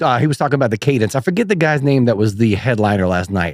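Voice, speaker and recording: A man with a medium pitch talks with lively intonation. His sound is dry and close, with no echo. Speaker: metal bassist and stand-up comedian. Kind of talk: casual chat. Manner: fast.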